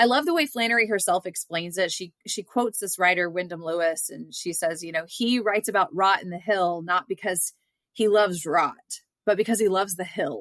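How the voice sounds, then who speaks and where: A woman with a Southern US accent at a medium pitch and fairly quick pace, with ordinary pitch variation and a dry, close sound with no echo. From US South (Georgia). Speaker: literature scholar and author. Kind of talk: interview conversation. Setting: podcast interview.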